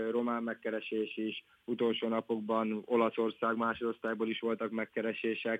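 A man talks at a medium pitch. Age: 20s. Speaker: professional footballer. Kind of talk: interview. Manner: halting.

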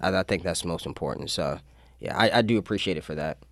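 A man with an American accent. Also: very clean recording, silent background. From Maryland (Annapolis area). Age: 20s. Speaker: city council member. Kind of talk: radio interview. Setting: radio studio. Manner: halting, many fillers.

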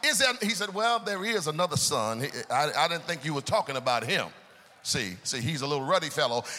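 A fairly high-pitched, animated male voice at a fairly quick pace, with very wide pitch swings. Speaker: preacher. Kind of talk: sermon. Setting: church. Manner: call-and-response.

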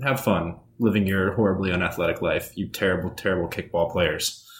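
Hardly pausing, a man speaks in a very deep, low pitch, somewhat breathy and with fairly even intonation. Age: 20s. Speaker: podcast co-host. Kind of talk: casual chat.

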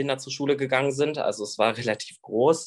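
A man speaks in a plain, everyday voice with fairly even intonation against a quiet background. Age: 20s. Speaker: YouTuber with Tourette syndrome. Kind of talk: interview.

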